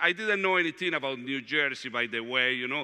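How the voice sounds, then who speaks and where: A man speaks with a Latin American accent and ordinary pitch variation. The background is quiet. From Colombia, Medellin. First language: Spanish. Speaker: diocesan director of evangelization, retreat speaker; speaker. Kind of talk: retreat talk. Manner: halting, with frequent fillers. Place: hall.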